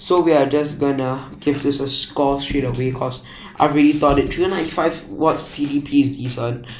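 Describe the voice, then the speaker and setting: Noticeable background noise and audible room echo surround a man speaking at a moderate pace, his fairly high voice held to fairly even intonation. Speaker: tech YouTuber. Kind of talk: casual tech review.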